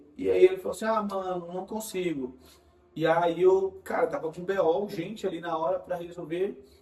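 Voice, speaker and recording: A man talks in a high voice with music behind him. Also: big swings in loudness. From Bahia, Brazil. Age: 20s. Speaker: digital marketing specialist. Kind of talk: casual interview.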